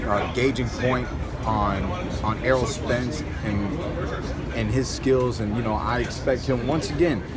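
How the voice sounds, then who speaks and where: A man's pitch varies in an ordinary way while loud background noise continues around him. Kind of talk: interview answer. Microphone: phone near.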